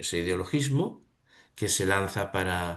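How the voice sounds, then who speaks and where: This man's pitch is fairly low, and the background stays quiet. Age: 70s. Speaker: reading seminar participant. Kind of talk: seminar discussion. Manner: halting.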